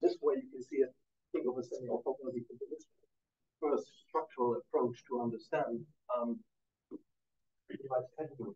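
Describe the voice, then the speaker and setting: A man speaks at a very fast pace but leaves long, frequent pauses. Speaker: mathematician. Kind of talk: lecture. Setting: conference talk with audience. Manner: halting, many fillers.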